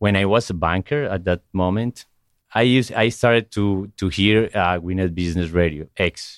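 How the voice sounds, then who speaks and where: A man with a Spanish accent and a very deep, low pitch, at a moderate pace with ordinary pitch variation, on a very clean recording with a silent background. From Colombia. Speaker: entrepreneur, former banker. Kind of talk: interview. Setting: radio studio.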